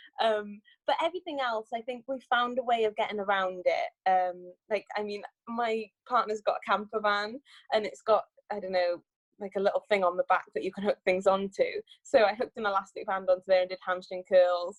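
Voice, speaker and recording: A woman with a Cardiff accent talks at a fairly quick pace, her medium-pitched voice showing ordinary pitch variation. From Wales, Cardiff. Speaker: sprinter and Olympic bobsledder. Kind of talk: interview.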